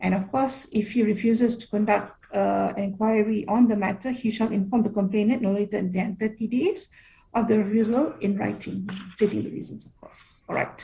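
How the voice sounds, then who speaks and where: Showing vocal fry, a woman with a fairly high pitch and a dark, mellow tone keeps fairly even intonation despite big swings in loudness. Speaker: workshop presenter on labour law. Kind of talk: presentation. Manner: fast.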